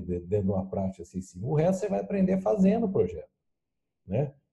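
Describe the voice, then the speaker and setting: Vocal fry runs through a man's dark, mellow tone as his pitch swings very widely. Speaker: lean management consultant. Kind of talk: casual chat.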